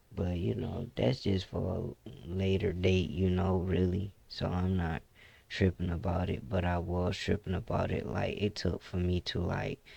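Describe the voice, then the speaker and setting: In a relaxed, dark and mellow tone, a man speaks at a fairly slow pace with a very deep, low pitch, vocal fry, and ordinary pitch variation. The recording is very clean, with a silent background. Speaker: gaming YouTuber. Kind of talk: casual gameplay commentary. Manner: mellow, relaxed.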